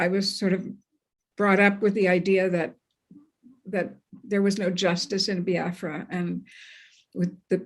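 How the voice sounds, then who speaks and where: A woman speaks at a medium pitch in a Canadian accent, her intonation monotone and flat, with long, frequent pauses. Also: fairly slow pace. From Canada, Montreal. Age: 70s. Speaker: journalist. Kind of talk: interview.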